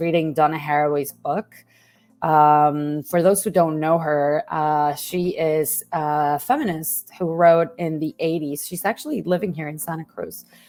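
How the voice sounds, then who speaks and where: A woman with a Spanish accent speaks at a fairly slow pace and fairly low pitch. Her intonation is fairly even, and the recording is very clean with a silent background. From Mexico. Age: 30s. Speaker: journalism lecturer and investigative reporter. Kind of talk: interview.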